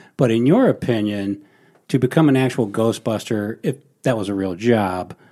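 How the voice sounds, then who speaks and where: Speaking with an American accent, a man has a dark, mellow tone and a medium pitch. His pace is fairly slow and his pitch variation ordinary. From US Midwest. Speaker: podcast co-host. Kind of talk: casual chat with interview.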